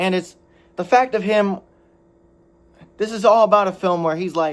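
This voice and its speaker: A loud man talks at a moderate pace. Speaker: anime reviewer. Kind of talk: video review monologue. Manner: halting, self-correcting.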